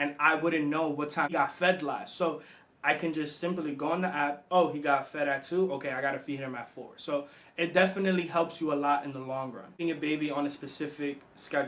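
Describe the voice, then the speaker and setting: Noticeable background noise sits behind a man's fairly high voice as he talks at a fairly quick pace with fairly even intonation. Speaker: vlogger, new father. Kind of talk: casual vlog tips list. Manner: loud; casual, conversational.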